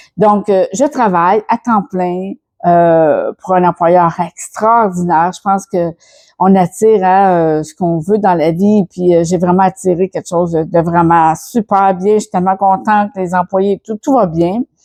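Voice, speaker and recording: In a Quebec accent, a woman with a medium pitch and a dark, mellow tone speaks at a fairly slow pace with ordinary pitch variation, the sound dry and close with no echo against a quiet background. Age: 60s. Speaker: personal development YouTuber. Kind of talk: casual vlog. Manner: hesitant, many fillers and repetitions.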